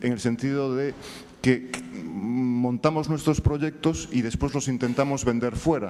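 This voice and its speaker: Amid noticeable background noise, a man with a Galician accent speaks at a fairly slow pace, his medium pitch showing ordinary variation. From Galicia, Spain. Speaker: screenwriter. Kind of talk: audience question at panel. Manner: hesitant, many fillers.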